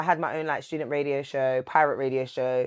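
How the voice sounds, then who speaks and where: Here a woman speaks in a London accent. Her pace is fairly quick. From London, England. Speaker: TV presenter and radio broadcaster. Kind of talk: casual interview chat.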